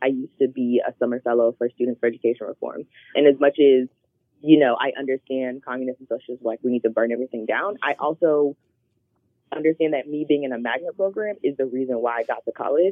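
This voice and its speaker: Speaking very fast with an American accent, a woman has a very deep, low pitch, ordinary pitch variation and big swings in loudness. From Charlotte, North Carolina. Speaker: activist and community organizer. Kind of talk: interview.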